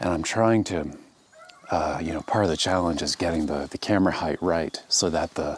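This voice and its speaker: The speaker keeps a fairly even intonation at a moderate pace, with noticeable background noise behind. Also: man, very deep, low pitch for a man. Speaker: landscape photographer. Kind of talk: casual vlog narration on location. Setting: outdoors. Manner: hesitant, many fillers.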